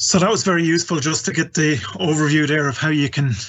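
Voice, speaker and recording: A man talks at a fairly quick pace with an Irish accent. His voice is somewhat breathy and fairly high in pitch. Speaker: event host. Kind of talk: live webinar hosting. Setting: online live event.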